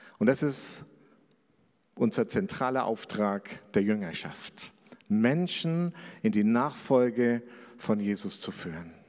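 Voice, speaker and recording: A man with a medium pitch, very wide pitch swings and a very slow pace broken by long, frequent pauses. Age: 50s. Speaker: pastor. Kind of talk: sermon.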